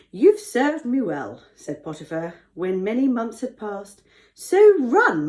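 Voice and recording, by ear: Text is read aloud. The speaker uses a natural voice.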